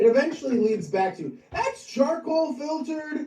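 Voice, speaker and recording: Noticeable background noise is present. A man speaks at a fairly slow pace. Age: 30s. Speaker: podcast guest, host's son. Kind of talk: casual chat.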